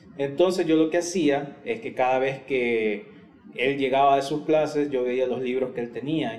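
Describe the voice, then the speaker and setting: Over noticeable background noise and audible room echo, a man talks at a moderate pace, medium in pitch with ordinary pitch variation. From El Salvador. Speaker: podcast co-host. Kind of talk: casual chat.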